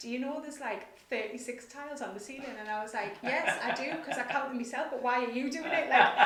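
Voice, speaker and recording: Audible room echo and noticeable background noise fill the recording. A woman talks fairly quickly at a high pitch, her pitch varying in an ordinary way. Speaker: nonprofit director. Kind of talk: interview. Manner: fast.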